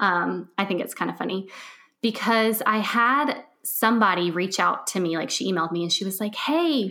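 Lively in intonation, a woman with a normal speaking voice talks at a moderate pace on a very clean recording with a silent background. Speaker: podcast host and organization coach. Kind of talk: casual interview chat.

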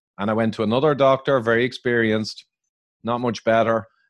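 Someone with an Irish accent talks at a fairly quick pace against a quiet background. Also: man. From Ireland. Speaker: biochemical engineer and author, public speaker. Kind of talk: interview answers, explanatory.

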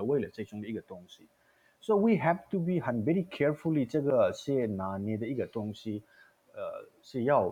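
Speaking fairly quickly, a man with a slight Taiwanese accent uses a fairly high pitch with very wide pitch swings. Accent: slight Taiwanese Mandarin accent, non-native. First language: Indian language (speaking Chinese). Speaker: theatre artistic director. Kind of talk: casual chat. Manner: halting; code-switching with English.

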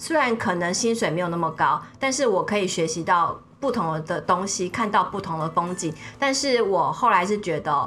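With lively intonation and a medium pitch, a woman speaks at a moderate pace against noticeable background noise. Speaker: media executive and former journalist. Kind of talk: interview, personal storytelling. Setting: studio. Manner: animated.

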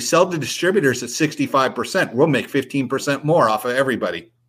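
A man with a normal speaking voice and an American accent, fairly high in pitch with ordinary variation, at a fairly quick pace, on a very clean recording with a silent background. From US West Coast, San Diego. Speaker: RC racing industry veteran. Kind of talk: casual chat.

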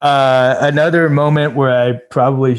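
A man speaks over a quiet background. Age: 40s. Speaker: tech entrepreneur. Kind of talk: interview conversation. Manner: animated.

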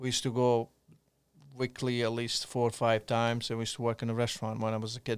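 The intonation is monotone and flat. The pace is very fast. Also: man, medium pitch for a man. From Montenegro. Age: 40s. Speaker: restaurant owner. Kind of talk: casual chat. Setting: studio.

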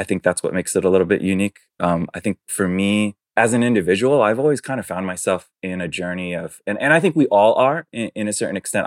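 This speaker talks at a fairly quick pace with an American accent and lively intonation. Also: man, dry, close sound with no echo. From New York City. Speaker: fashion brand co-founder. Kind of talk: casual interview. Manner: hesitant, many fillers.

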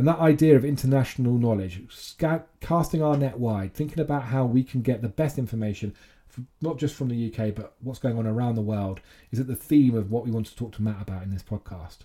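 A man with a medium-pitched, somewhat breathy voice speaks with ordinary pitch variation. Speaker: podcast host and trade body chief executive. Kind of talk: interview conversation. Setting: hotel lobby with background noise.

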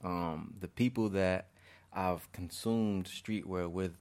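A man with an American accent speaks in a very deep, low pitch with fairly even intonation. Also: very clean recording, silent background. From Chicago south suburbs (Markham, Harvey). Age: young. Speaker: community organizer and restorative justice facilitator. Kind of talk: casual interview.

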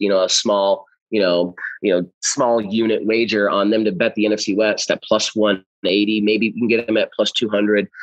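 The speaker has an American accent and a plain, everyday voice. The pace is moderate. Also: man. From US Midwest, St. Louis. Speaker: sports betting analyst. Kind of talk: casual interview.

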